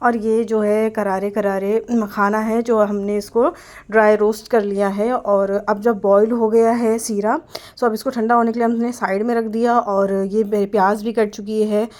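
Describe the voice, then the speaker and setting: Her voice sits at a fairly high pitch, and the woman keeps a monotone, flat intonation with very even loudness. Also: fairly slow pace. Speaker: family vlogger. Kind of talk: vlog voice-over narration.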